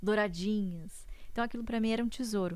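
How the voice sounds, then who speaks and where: Her pitch varies in an ordinary way as a woman with an unremarkable speaking voice moves along at a fairly quick pace. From interior of São Paulo state, Brazil. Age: young. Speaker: economist and investor. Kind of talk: interview.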